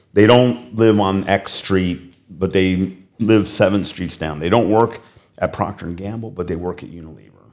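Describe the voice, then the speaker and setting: A man with a Midwestern accent speaks at a moderate pace in a fairly low voice, his pitch varying normally while his loudness swings widely. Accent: American Midwestern. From US Midwest, Cincinnati. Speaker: business executive. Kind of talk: interview. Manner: animated.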